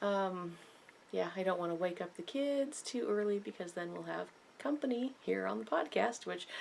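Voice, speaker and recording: Soft-spoken, a woman with a fairly low pitch speaks with very wide pitch swings. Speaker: knitting podcaster. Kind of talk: casual chat.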